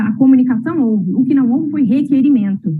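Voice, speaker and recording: Her voice sits high in pitch for a woman, with ordinary pitch variation. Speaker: lawyer. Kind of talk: oral argument at administrative hearing. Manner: formal.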